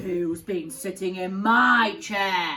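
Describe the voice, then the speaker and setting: A woman performs a growling, put-on character voice. Her pitch sits in the medium range. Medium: read story.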